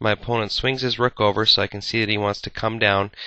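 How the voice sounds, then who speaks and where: The speaker is a man with a fairly low pitch. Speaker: chess video creator. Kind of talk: game commentary tutorial. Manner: hesitant fillers; fast.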